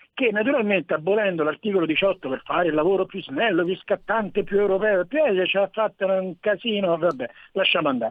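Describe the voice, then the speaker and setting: A man's voice, high in pitch, moves at a fairly quick pace with lively intonation. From Rome. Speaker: caller. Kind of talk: radio call-in. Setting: phone call.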